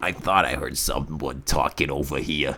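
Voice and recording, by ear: A put-on character voice delivers the lines at a moderate pace. The sound is raspy. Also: man.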